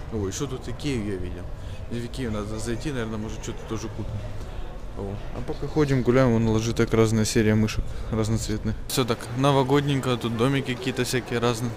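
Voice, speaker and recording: A man talks at a very fast pace, broken by long, frequent pauses. The sound is dry with no echo, with noticeable background noise. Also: fairly even intonation. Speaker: tech video blogger; tech vlogger. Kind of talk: travel vlog. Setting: outdoors walking. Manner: casual, filler-heavy. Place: shop. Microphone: phone near.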